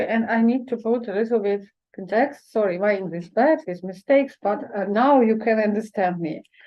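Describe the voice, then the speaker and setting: A woman with a Ukrainian accent speaks at a moderate pace in a fairly high voice with ordinary pitch variation. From eastern Ukraine. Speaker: poet. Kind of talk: event talk. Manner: halting, many hesitations.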